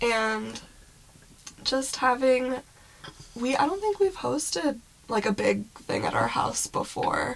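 A woman speaks at a very slow pace in a high voice, her pitch swinging very widely, with long, frequent pauses and noticeable background noise. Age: 30s. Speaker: podcast co-host. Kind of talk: casual chat.

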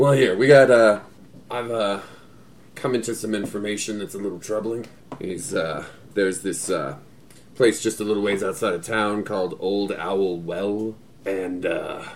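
A man uses a put-on character voice, raspy and fairly low in pitch, at a moderate pace with long, frequent pauses. Clear background noise is present. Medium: actual play. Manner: folksy, rambling, crude humor.

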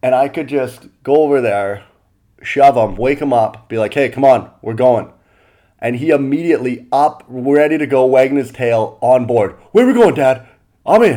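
A man with a Canadian accent speaks in a normal speaking voice at a medium pitch. His pace is moderate, with ordinary pitch variation. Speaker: comedian. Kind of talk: casual solo monologue. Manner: relaxed, many fillers.

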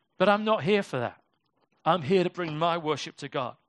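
Speaking at a fairly quick pace with a British accent, a man's high voice moves with lively intonation, dry and close with no echo against a quiet background. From Britain. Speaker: pastor. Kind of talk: sermon. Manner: casual, conversational.

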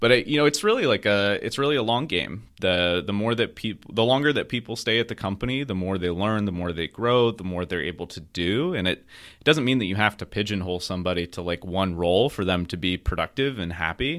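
In a plain, everyday voice, a man with an American accent speaks at a fairly quick pace and fairly low pitch, with lively intonation and hardly any pauses, on a very clean recording with a silent background. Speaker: software engineering manager. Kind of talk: casual interview.

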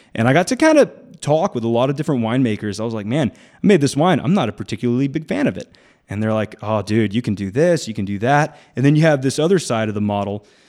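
This man has an American accent and talks at a very fast pace with lively intonation. The recording is very clean, with a silent background. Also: medium pitch for a man. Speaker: winemaker and winery owner. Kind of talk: casual radio interview. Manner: animated.

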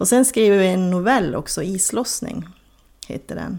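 A woman talks in a plain, everyday voice. Her pitch is medium, with ordinary pitch variation. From northern Sweden, Kiruna area (Soppero, Lannavaara). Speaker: crime novelist. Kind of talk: interview.

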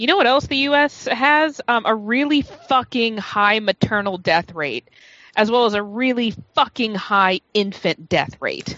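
In an unremarkable speaking voice, a woman talks with fairly high pitch and lively intonation. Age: 30s. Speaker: podcast panelist. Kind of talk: casual chat.

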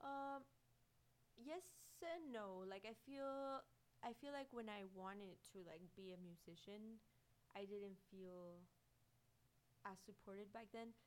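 Long, frequent pauses break up a woman's very slow speech. Her medium pitch carries lively intonation. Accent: Spanish. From Mexico, León, Guanajuato. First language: Spanish. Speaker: animation artist. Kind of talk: interview.

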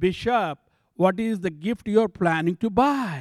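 A man with an Indian accent speaks fairly slowly in a high voice with lively intonation, recorded dry and close with no echo against a silent background in a very clean recording. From southern India. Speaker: bishop, church planter. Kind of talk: testimony. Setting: church.

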